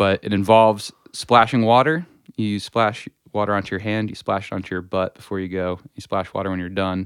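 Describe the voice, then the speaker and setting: A normal speaking voice from a man, fairly low in pitch, with fairly even intonation and a fairly quick pace. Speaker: podcast guest. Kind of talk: casual chat.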